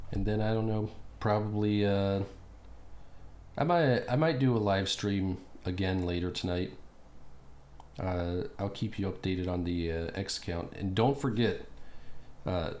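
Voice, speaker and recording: Amid audible room echo, a man with a fairly low pitch speaks with long, frequent pauses. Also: fairly slow pace. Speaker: political commentary youtuber. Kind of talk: casual solo commentary. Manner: monotone; halting, many fillers.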